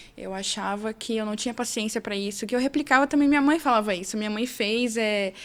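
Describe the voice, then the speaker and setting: Talking at a fairly quick pace with hardly any pauses, a woman uses a fairly high pitch and ordinary pitch variation. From interior of São Paulo state, Brazil (Fernandópolis). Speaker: lawyer and entrepreneur. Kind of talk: podcast interview.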